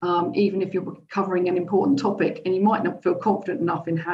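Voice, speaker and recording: A woman speaks at a very fast pace in a fairly low pitch. Her voice is somewhat breathy. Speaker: chief financial officer, presenter. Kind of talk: presentation.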